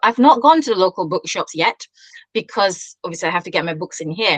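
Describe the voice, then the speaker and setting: Recorded with a dry, close sound and no echo, a woman at a medium pitch makes very wide pitch swings. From Singapore. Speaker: children's author. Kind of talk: interview. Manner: halting.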